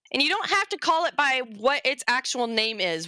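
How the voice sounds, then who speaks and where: A woman with a Southern US accent speaks fairly slowly in a bright, sharp tone that is animated and playful, her pitch swinging very widely, with a dry, close sound and no echo. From US South, Arkansas. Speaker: convention panel presenter, zoology educator. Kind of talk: informal educational panel talk. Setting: virtual convention panel livestream. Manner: animated, playful.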